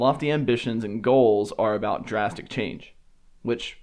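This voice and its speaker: Over a quiet background, a man speaks with a Southern US accent. His pitch is medium with ordinary variation, and his pace is moderate. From US South, Alabama. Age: 20s. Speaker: podcast host. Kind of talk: solo monologue podcast.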